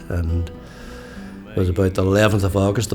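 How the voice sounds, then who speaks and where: With music playing behind him, a man talks in a very deep, low voice. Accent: Derry. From Derry, Northern Ireland. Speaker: musician, songwriter, community worker and storyteller. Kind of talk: interview answer. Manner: laid back, quietly sage.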